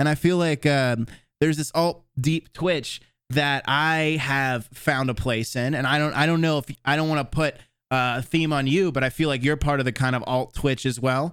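The speaker is a man with a fairly high pitch and a normal speaking voice. He keeps a moderate pace and fairly even intonation. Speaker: podcast host. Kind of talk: casual chat.

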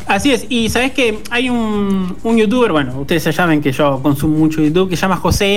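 A man talks at a very fast pace and a high pitch, his intonation lively. Noticeable background noise and audible room echo surround him. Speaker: radio host. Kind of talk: casual chat.

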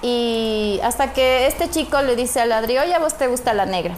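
Over noticeable background noise, a woman speaks at a fairly quick pace and a high pitch with ordinary pitch variation. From Ecuador, Ambato. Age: 30s. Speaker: makeup studio owner. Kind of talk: casual chat.

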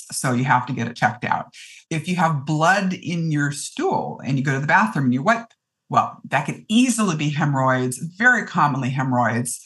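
A woman's very deep, low voice with a Canadian accent and very wide pitch swings. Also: moderate pace. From Ontario, Canada. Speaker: physician. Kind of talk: interview, medical advice.

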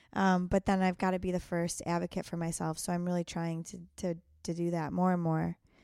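Speaking with an American accent, a woman has a fairly low pitch, a dark, mellow tone and monotone, flat intonation. Her pace is fairly quick, and the recording is very clean with a silent background. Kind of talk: casual interview chat.

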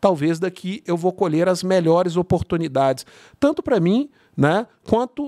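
Dry and close with no echo, the very clean recording has a silent background. A man with a high pitch speaks at a moderate pace. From Brazil, São Bernardo do Campo (São Paulo area). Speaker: networking entrepreneur. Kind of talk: casual interview over wine. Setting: studio.

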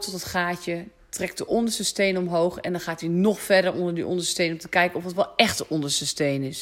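A fairly low-pitched woman with ordinary pitch variation, over noticeable background noise. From Netherlands, rural polder. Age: 30s. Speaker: astrologer and podcast host. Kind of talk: casual solo podcast monologue. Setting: at home on the sofa. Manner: hesitant, many fillers.

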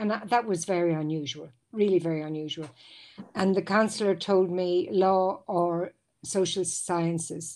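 A woman speaks in an Irish accent at medium pitch. Her pace is moderate, and her intonation is fairly even. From Ireland. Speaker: lawyer and university guidance counselor. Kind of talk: casual interview. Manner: halting, frequent repetitions.

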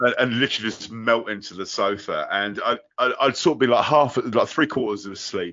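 With a southern English accent, a man talks at a fairly quick pace. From southern England. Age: 40s. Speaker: podcast host. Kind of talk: casual chat. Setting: video call.

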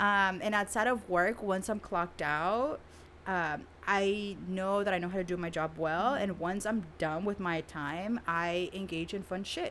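A woman at a moderate pace, medium pitch, with ordinary pitch variation. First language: Spanish. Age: 30s. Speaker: therapist. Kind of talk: casual interview.

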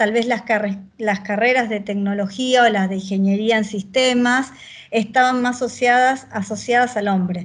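Over a quiet background, an unremarkable speaking voice keeps a moderate pace and fairly even intonation. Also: woman. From Argentina, Buenos Aires province (Victoria, zona norte). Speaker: agile transformation leader in tech. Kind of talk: interview.

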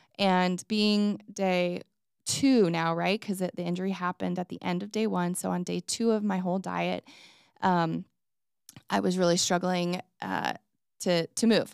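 In a very clean recording with a silent background and a dry, close sound with no echo, a woman with a plain, everyday voice speaks at a fairly slow pace, medium in pitch with ordinary pitch variation. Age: 40s. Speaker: podcast host and mom. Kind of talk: personal monologue.

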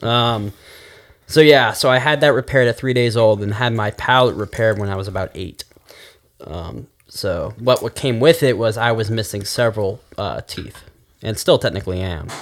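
At a moderate pace and medium pitch, a man with a normal speaking voice talks with ordinary pitch variation. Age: 20s. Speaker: podcast guest, former web show host. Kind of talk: casual chat.

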